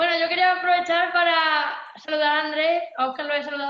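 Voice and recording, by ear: Speaking at a fairly quick pace, a woman is heard with audible room echo.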